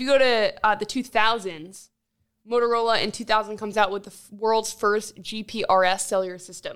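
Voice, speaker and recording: A woman with an unremarkable speaking voice talks at a fairly quick pace with fairly even intonation. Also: very clean recording, silent background. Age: 20s. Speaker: tech podcast co-host. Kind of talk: casual chat.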